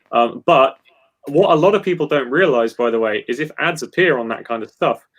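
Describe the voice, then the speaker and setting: Here a man speaks with an English accent at a fairly high pitch. His intonation is lively and his pace fairly quick. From England. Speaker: guitarist. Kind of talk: casual chat. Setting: live stream.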